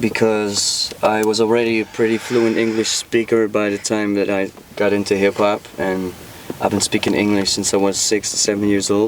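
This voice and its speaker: Over noticeable background noise, a man with a Dutch accent talks at a moderate pace in a fairly low pitch with monotone, flat intonation. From Netherlands. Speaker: rapper. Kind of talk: casual interview chat.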